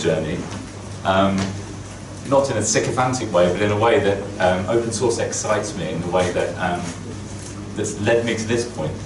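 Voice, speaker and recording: There is audible room echo and noticeable background noise as the speaker moves at a fairly quick pace with ordinary pitch variation. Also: man. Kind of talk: keynote talk. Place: office. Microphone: camera far.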